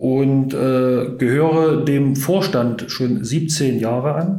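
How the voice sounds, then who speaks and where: A man with a dark, mellow tone. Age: 50s. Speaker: sports club chairman. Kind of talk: casual interview. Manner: hesitant, many fillers.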